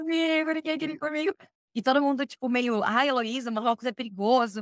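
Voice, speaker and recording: At a fairly quick pace, a woman with a high pitch speaks in an animated tone with ordinary pitch variation, in a dry, close sound with no echo. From Brazil, Curitiba (Paraná). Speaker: expatriate interviewee. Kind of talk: casual interview chat, personal storytelling.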